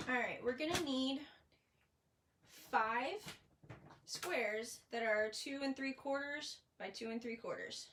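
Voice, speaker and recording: A woman speaks in a high voice at a fairly slow pace, with long, frequent pauses. Noticeable background noise runs underneath. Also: ordinary pitch variation. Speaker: paper crafting demonstrator. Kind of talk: live craft tutorial. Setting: livestream. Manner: casual, chatty. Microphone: phone near.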